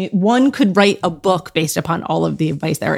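This is a woman speaking. Her voice carries vocal fry. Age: 40s. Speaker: podcast host and parenting expert. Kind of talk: casual interview.

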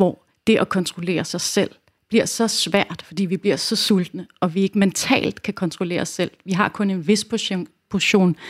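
In a very clean recording with a silent background and dry, close sound with no echo, a woman in a normal speaking voice talks at a fairly slow pace, medium in pitch with ordinary pitch variation. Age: 40s. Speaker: nutrition coach and educator. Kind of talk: casual interview chat.

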